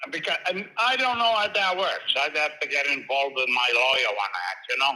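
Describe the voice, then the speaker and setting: A fairly high-pitched male voice with very wide pitch swings, over noticeable background noise. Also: fairly quick pace. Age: 60s. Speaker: home seller. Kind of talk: phone conversation. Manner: halting.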